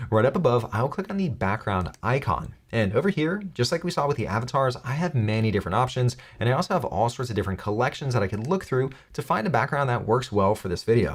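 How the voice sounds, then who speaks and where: In a very clean recording with a silent background, a man talks very fast at a medium pitch, his voice somewhat breathy and swinging very widely in pitch. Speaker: tech tutorial youtuber. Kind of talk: tutorial. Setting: studio.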